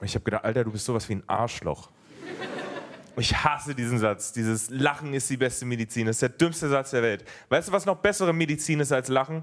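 A man's lively intonation at a very fast pace. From Germany. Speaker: stand-up comedian. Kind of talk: stand-up. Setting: stage with audience. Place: stage. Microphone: handheld.

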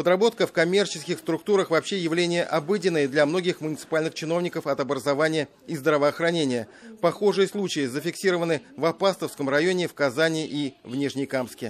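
Talking at a fairly quick pace, a man with an unremarkable speaking voice pitched fairly high shows ordinary pitch variation. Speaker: TV news correspondent. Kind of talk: news report narration.

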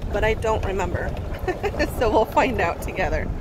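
Someone speaks at a moderate pace against loud background noise. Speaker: vlogger. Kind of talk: casual vlog chat. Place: car. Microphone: phone near.

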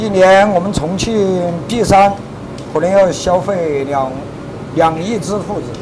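Very slow pace, long, frequent pauses and noticeable background noise. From Chongqing, Bishan. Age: 40s. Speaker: restaurant chef. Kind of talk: cooking demonstration.

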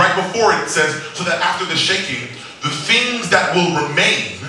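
A man speaks at a moderate pace in an animated tone. There is audible room echo and light background noise. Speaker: preacher. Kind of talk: sermon. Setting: church with congregation. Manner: animated, call-and-response; casual, conversational. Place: church.

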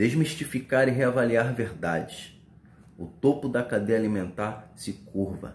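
A somewhat breathy voice speaks at a fairly slow pace in a solemn tone with ordinary pitch variation. Room echo can be heard. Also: man. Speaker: spoken word poet. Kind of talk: spoken word poetry, reflective pandemic-era verse. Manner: solemn, measured, meditative delivery with rhythmic pauses. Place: home room. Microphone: phone near.

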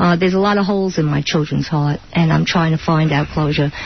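A woman in a New York accent at a fairly quick pace. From Brooklyn, New York. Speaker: author, widow of a mobster. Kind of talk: radio interview answer.

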